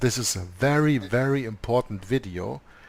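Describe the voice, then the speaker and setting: Man with a non-native accent at a fairly slow pace. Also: very clean recording, silent background. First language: not English. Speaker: co-host of a religious discussion show. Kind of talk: conversational discussion. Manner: halting, many fillers.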